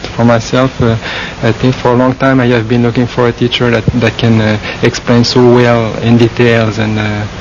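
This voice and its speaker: With a French Canadian accent, the speaker keeps a monotone, flat intonation, a moderate pace and very even loudness, over noticeable background noise. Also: man, medium pitch for a man. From Quebec, French-speaking Canada. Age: 40s. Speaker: Buddhist monk. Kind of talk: interview. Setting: forest meditation monastery. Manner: halting, many fillers.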